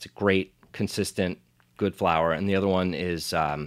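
Very deep, low pitch from a man with an American accent, at a moderate pace with fairly even intonation, on a very clean recording with a silent background. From US, New Jersey (Monmouth County). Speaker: pizza chef and restaurant owner. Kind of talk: casual interview chat.

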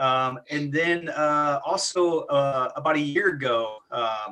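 This man talks with a fairly high pitch and ordinary pitch variation. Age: 40s. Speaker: insurance agent. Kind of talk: casual chat. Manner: animated.

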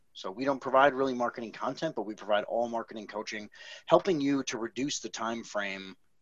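This man has an American accent, a medium pitch and ordinary pitch variation. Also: fairly quick pace. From Wisconsin, Milwaukee. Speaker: business coach, former IT company owner. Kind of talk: casual interview.

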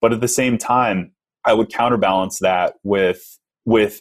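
A man with an American accent talks at a fairly slow pace in an ordinary speaking voice, his intonation fairly even. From Texas. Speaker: resume company founder and podcaster. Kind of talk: casual interview.

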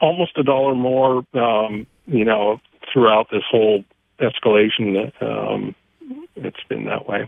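A man speaks with an unremarkable speaking voice at medium pitch. He goes at a fairly slow pace with ordinary pitch variation. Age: 60s. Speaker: caller, homeowner restoring a house. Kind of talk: call-in conversation. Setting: phone call.

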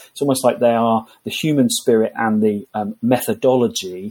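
A man with an English accent speaks at a moderate pace with hardly any pauses. His medium-pitched voice shows ordinary pitch variation. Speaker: HR consultant and author. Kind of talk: interview.

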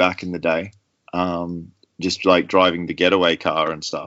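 This man has an Australian accent. His pace is fairly slow. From Australia, rural New South Wales. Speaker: mountain bike suspension tuner and former race mechanic. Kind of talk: interview.

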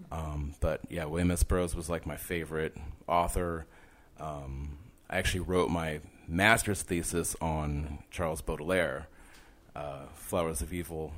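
Very deep and low in pitch, a man speaks at a fairly slow pace with fairly even intonation. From not born in New York, lived in NYC about 10 years. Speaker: street artist. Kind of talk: casual interview chat. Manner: casual, laid-back.

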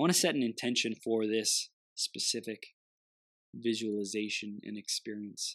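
A man in a normal speaking voice talks at a medium pitch with ordinary pitch variation, the sound dry and close with no echo over a quiet background. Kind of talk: guided meditation. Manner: slow, soothing, calm and gently paced with pauses; warm, encouraging, nurturing.

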